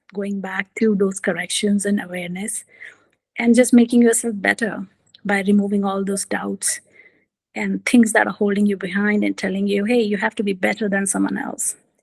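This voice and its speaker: Somewhat breathy and monotone, with flat intonation, a woman speaks at medium pitch and a moderate pace. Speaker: executive coach. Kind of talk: talk with slides.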